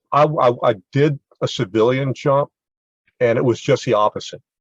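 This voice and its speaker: Recorded with a dry, close sound and no echo, a man speaks at a medium pitch in a somewhat breathy voice with ordinary pitch variation. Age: 70s. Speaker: military veteran and parkour practitioner. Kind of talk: panel discussion. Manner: halting, repeats words.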